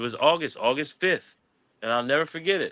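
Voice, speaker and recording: A man with an American accent has a bright, sharp tone and very wide pitch swings. The recording is very clean and dry, with a silent background and a close sound with no echo. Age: 60s. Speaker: cannabis activist and entrepreneur. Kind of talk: interview conversation. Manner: repetitive stammering restarts.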